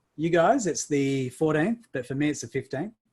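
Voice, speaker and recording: A man with an Australian accent speaks in a somewhat breathy voice. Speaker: summit speaker. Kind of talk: online summit talk. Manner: animated.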